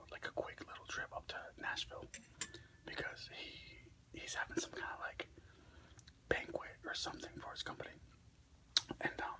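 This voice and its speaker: A man whispering at a moderate pace. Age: middle-aged. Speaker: ASMR content creator. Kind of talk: casual talk to camera.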